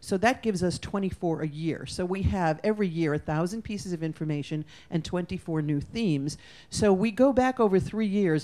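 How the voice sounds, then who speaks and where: A woman's fairly low voice in a dark, mellow tone, at a fairly quick pace with ordinary pitch variation. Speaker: futurist speaker. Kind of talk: conference presentation. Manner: fast.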